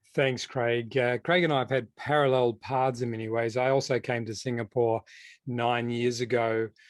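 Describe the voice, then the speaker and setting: Against a quiet background, the speaker uses an Australian accent at a moderate pace with monotone, flat intonation. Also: man, medium pitch for a man. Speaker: educational technology consultant, former school principal. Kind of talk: conference presentation.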